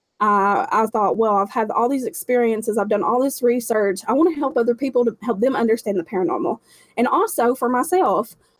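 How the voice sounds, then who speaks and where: A woman with an Appalachian accent speaks at a fairly quick pace in a high voice with lively intonation. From Appalachia, southwest Virginia. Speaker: intuitive healer, paranormal investigator. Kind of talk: interview answer. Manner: casual, candid.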